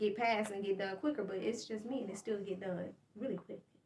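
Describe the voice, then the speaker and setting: A woman at a fairly quick pace with fairly even intonation. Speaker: podcast host and small business owner. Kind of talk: casual monologue update. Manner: fast.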